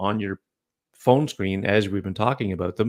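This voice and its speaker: A man's fairly low voice, an unremarkable speaking voice, with fairly even intonation and a dry, close sound with no echo. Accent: Canadian. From Canada. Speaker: podcast host. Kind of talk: casual chat. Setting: live video stream.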